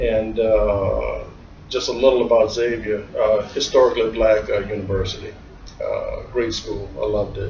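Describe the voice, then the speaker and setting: Noticeable background noise and audible room echo surround speech that moves at a moderate pace. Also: man. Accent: American. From US South, New Orleans. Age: 60s. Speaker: accountant. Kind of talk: interview. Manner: halting, many fillers.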